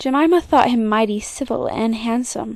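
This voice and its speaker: A woman speaks at a moderate pace with a fairly high pitch and ordinary pitch variation. Hers is an unremarkable speaking voice. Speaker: children's book narrator. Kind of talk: children's story reading.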